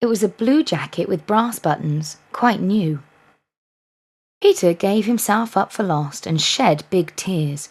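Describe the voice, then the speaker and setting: A woman with an English accent at a medium pitch, somewhat breathy and soothing in tone, with lively intonation and a fairly slow pace. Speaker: life coach. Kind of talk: bedtime story reading. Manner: soft, soothing.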